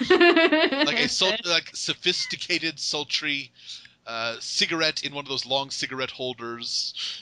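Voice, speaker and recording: A man with an American accent talks at a very slow pace over noticeable background noise. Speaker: podcast host. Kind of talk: casual interview.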